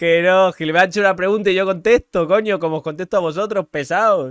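Against a quiet background, a man with a high pitch and ordinary pitch variation speaks with a dry sound with no echo. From Argentina. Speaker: livestreamer. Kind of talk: livestream chat. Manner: animated, loud. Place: home room. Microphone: studio mic.

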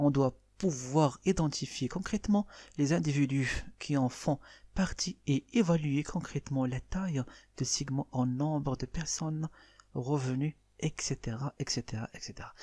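Dry and close with no echo, the recording is very clean with a silent background. The voice is dark, mellow and somewhat breathy, moving at a moderate pace with ordinary pitch variation. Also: man, fairly high pitch for a man. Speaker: marketing teacher. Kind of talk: lecture. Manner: reads French definitions then explains in Darija.

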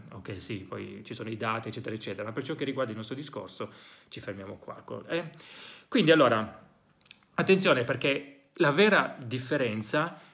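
Against a quiet background, a man with a medium pitch talks at a moderate pace with lively intonation, big swings in loudness and long, frequent pauses. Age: 40s. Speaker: psychologist and educator; educator. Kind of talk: educational monologue. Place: home room.

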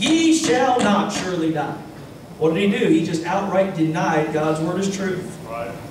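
Amid noticeable background noise and audible room echo, a man talks at a moderate pace with very wide pitch swings. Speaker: Baptist pastor. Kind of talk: sermon preaching to a congregation. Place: church.

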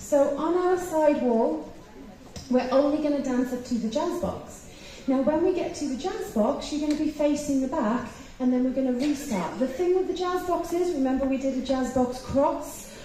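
High female pitch with ordinary pitch variation, light background noise and audible room echo. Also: moderate pace. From England. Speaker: line dance instructor. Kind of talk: dance teaching workshop. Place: hall. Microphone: pa.

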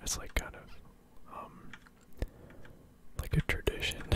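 A man whispering at a moderate pace. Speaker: ASMR gaming content creator. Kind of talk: casual ASMR gameplay ramble. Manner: whispered, soft-spoken. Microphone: studio mic.

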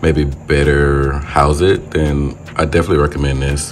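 Fairly slow speech from a man with a very deep, low pitch, with music in the background. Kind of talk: casual vlog chat. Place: home room. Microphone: phone near.

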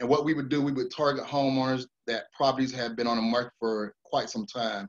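A man talks at a medium pitch with an American accent. The background is quiet. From US South. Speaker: real estate investor; guest. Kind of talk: webinar presentation. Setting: video call. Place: home room. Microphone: video call.

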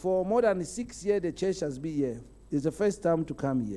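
The man's voice carries a dark, mellow tone. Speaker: preacher. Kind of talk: sermon. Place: church. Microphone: handheld.

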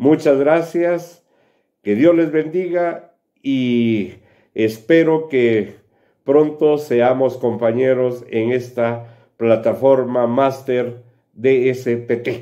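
A man's medium-pitched, dark, mellow voice with a Guatemalan accent, very slow pace and quiet background. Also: ordinary pitch variation. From Quetzaltenango, Guatemala. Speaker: student testimonial giver. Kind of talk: testimonial. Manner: formal. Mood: grateful, earnest. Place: home room. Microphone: webcam.

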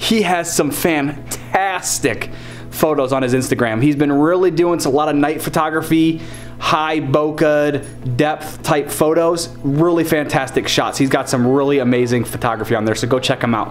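Faint music plays behind a man who speaks at a moderate pace with ordinary pitch variation. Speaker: vlogger. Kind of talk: casual vlog chat. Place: home room. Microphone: phone near.

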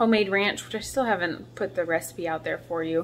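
A woman talks at a moderate pace with fairly even intonation. Light background noise can be heard. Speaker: vlogger. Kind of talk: casual vlog chat. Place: kitchen. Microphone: phone near.

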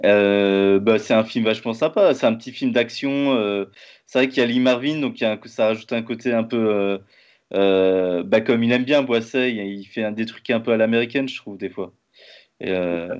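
Against a quiet background, a man speaks at a moderate pace and medium pitch with ordinary pitch variation. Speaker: interviewer, live stream host. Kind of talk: casual interview. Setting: live stream, video call. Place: home room. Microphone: webcam.

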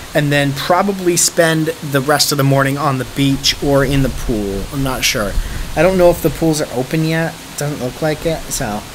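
Noticeable background noise sits behind this recording. The man's pace is moderate and his pitch shifts in an ordinary way. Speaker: travel vlogger. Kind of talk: casual vlog chat. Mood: relaxed, cheerful.

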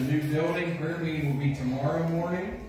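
There is strong room echo and noticeable background noise. A man talks with fairly even intonation. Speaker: pastor giving announcements. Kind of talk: church announcements. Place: church. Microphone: camera far.

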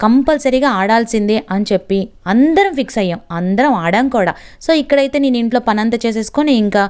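Animated in tone, a woman speaks with lively intonation and a fairly high pitch. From Andhra Pradesh, near Telangana border. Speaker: vlogger. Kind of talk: casual vlog narration.

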